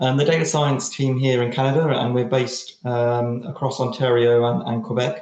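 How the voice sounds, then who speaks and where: In a British accent, this man talks with a dark, mellow tone. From United Kingdom. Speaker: data science team lead. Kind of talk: presentation. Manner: halting, many fillers and repetitions.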